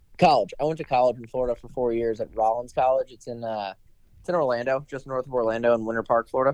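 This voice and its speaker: Talking very fast with an American accent, a man at a medium pitch keeps his intonation fairly even while his loudness swings a lot, the sound dry and close with no echo. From Maryland, near Washington D.C. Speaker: professional golfer. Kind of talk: casual chat.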